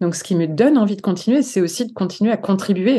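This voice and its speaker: Against a quiet background, a woman speaks in a dark, mellow tone at medium pitch with ordinary pitch variation. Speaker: psychologist and author. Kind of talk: podcast interview. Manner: animated.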